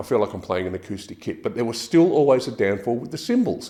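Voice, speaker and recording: With an Australian accent, a man talks at a very fast pace. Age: 60s. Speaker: drummer reviewing gear. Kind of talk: product review. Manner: casual, some hesitations and repeats.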